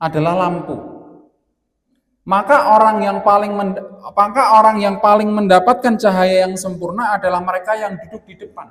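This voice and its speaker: Amid audible room echo, a man speaks at a fairly quick pace in a high pitch with fairly even intonation. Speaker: Islamic preacher. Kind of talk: religious lecture.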